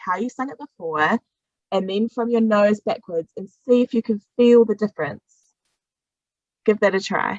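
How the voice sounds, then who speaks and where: A woman speaks with a New Zealand accent and ordinary pitch variation. The sound is dry and close, with no echo. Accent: New Zealand, words low in the face. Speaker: singing teacher. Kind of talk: voice workshop instruction.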